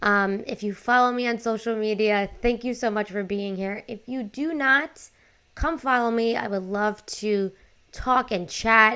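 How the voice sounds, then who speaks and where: On a very clean recording with a silent background, a woman speaks in a bright, sharp, animated tone at a fairly high pitch, keeping a fairly slow pace with ordinary pitch variation. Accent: New York. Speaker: life coach and podcaster. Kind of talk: casual podcast monologue.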